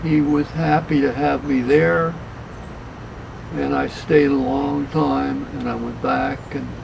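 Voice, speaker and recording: At a very slow pace, a man talks through audible room echo and noticeable background noise. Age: 80s+. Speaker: car collector. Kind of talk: interview. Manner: halting.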